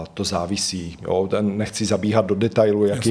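Speech in a Slovak accent, delivered with a flat, monotone intonation. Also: man. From Slovakia. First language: Slovak (speaking Czech). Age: 40s. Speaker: psychotherapist. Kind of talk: interview.

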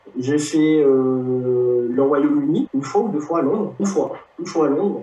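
Fairly slow speech over noticeable background noise. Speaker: podcast host. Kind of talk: casual interview.

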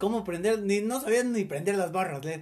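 A man talks with ordinary pitch variation. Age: 20s. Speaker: host's brother. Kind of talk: casual chat.

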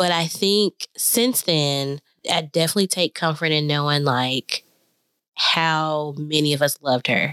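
Speaking at a fairly slow pace, a woman has a very deep, low pitch and a bright, sharp tone, with ordinary pitch variation, very even loudness and a dry, close sound with no echo. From Nashville, Tennessee. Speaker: podcast guest. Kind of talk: casual chat.

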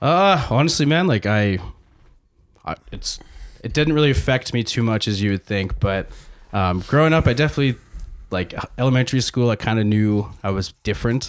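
A man with a Canadian accent, medium pitch and lively intonation, talking fairly quickly between long, frequent pauses. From Saskatchewan, Canada. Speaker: pharmacist in training. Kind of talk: casual chat.

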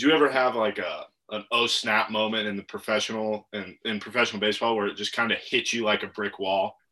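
Speaking with an American accent, a man talks at a very fast pace with hardly any pauses, a fairly low pitch and a bright, sharp tone. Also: fairly even intonation. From Virginia. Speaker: podcast co-host, former college baseball player. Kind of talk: casual interview chat.

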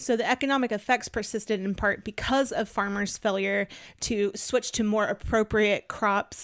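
In a normal speaking voice with an American accent, the speaker keeps a moderate pace, fairly even intonation and very even loudness, with a dry, close sound and no echo. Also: woman. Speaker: podcast host. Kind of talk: casual chat.

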